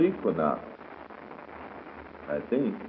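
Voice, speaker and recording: Over noticeable background noise, a fairly slow man talks with an American accent. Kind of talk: 1930s radio morning show host patter and commercial reads. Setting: vintage radio broadcast recording. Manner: brisk announcer delivery, reading ads and time checks.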